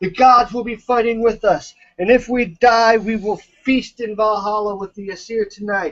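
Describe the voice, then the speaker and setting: Shouting in a put-on character voice, the speaker keeps a moderate pace. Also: man. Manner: yelling, rousing.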